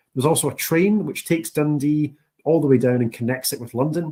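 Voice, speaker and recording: The speaker has a strong Scottish accent and ordinary pitch variation. The pace is fairly quick. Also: man. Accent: thick Scottish. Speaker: university international recruitment officer. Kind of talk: presentation. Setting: online session. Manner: enthusiastic.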